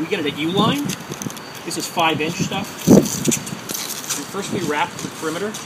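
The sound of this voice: Over clear background noise, a man talks at a fairly slow pace with a fairly high pitch and ordinary pitch variation.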